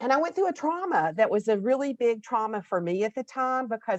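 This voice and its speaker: The background is quiet. The sound is dry and close, with no echo. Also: woman. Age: 60s. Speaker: spiritual healer and teacher. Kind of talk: podcast interview. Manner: casual, halting.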